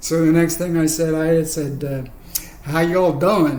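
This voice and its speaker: A man is speaking with audible room echo. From England. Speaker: spinal injury survivor. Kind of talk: personal storytelling. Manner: halting, many fillers.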